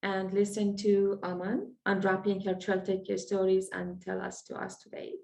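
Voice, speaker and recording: A woman's voice with an Iranian accent. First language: Farsi. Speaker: event moderator. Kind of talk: introduction. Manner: halting.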